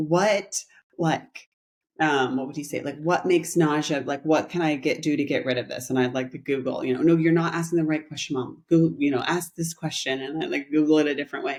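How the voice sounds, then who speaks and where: A woman's very deep, low voice in a calm tone, fairly quick and with ordinary pitch variation. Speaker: spiritual teacher and podcast co-host. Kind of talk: casual chat.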